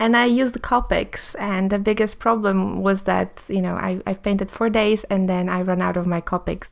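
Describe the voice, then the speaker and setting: On a very clean recording with a silent background, a woman with a fairly high pitch talks at a moderate pace. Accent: non-native. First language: not English. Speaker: artist. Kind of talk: art tutorial voice-over. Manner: halting, many ums.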